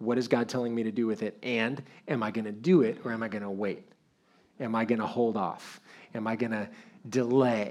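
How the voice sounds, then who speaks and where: A man's medium-pitched voice, fairly quick and fairly even in intonation, with long, frequent pauses and audible room echo. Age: 50s. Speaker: pastor. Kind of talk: sermon.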